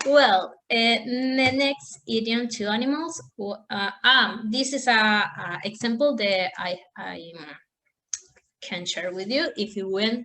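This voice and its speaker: A woman with a Spanish accent talks at a very slow pace in a fairly high pitch. Her tone is bright and sharp, and her intonation is lively. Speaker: language student. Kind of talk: class presentation. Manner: halting.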